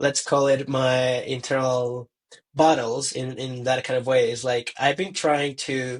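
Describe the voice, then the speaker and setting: Speaking at a fairly slow pace with a non-native accent, a man of medium pitch keeps his intonation monotone and flat. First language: not English. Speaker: tourism professional. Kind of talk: casual chat. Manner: halting.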